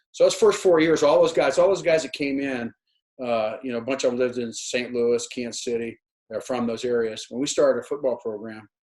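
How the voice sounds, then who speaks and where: Using a medium pitch, a man delivers his words at a fairly quick pace. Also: ordinary pitch variation. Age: 60s. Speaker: retired college football coach. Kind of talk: interview. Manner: halting, many repeated words.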